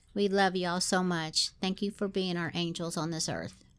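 Speaking with a Southern US accent, a woman keeps her intonation fairly even in a very clean recording with a silent background. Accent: Southern US twang. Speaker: podcast co-host. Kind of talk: casual chat.

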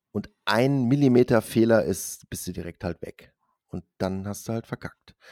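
At a fairly slow pace, a man speaks with medium pitch and ordinary pitch variation in a dry, close sound with no echo. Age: 40s. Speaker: podcast host. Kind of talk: casual chat.

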